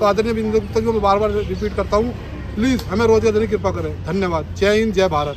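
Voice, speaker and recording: The speaker is a man. Crowd noise and audible room echo fill the background. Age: 40s. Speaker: protester, former bus marshal. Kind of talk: protest statement to camera.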